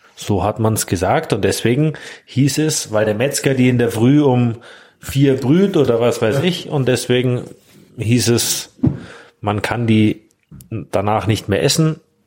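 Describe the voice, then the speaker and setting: A man speaks at a fairly slow pace, leaving long, frequent pauses. His medium pitch shows ordinary variation, and his loudness stays very even. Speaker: restaurant owner. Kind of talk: casual interview.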